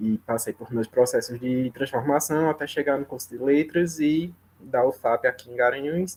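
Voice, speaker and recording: A soft-spoken man talks at a fairly slow pace with ordinary pitch variation. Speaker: program alumnus, former master's student. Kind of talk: testimony at academic seminar round.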